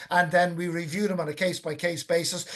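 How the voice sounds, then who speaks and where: Here is a man with an Irish accent and a high pitch. His pace is fairly quick. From Ireland, County Wicklow. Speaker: whale and dolphin conservationist. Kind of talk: webinar Q&A. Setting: online webinar.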